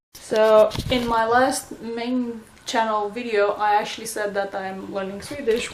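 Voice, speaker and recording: A woman's fairly high voice at a fairly slow pace, with fairly even intonation and audible room echo. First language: Romanian. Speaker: vlogger. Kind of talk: casual vlog update. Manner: hesitant, many fillers.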